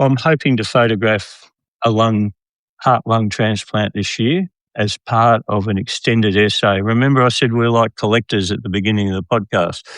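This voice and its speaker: A man with an Australian accent talks at a medium pitch with fairly even intonation. The sound is dry and close, with no echo. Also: moderate pace. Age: 70s. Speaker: documentary photographer. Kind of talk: podcast interview. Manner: hesitant, repeats words.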